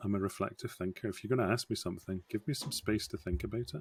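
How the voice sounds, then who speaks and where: A man with a fairly low pitch speaks at a very fast pace, with a dry, close sound and no echo. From Scotland, Scottish Borders. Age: 50s. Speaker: scrum master. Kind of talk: podcast interview.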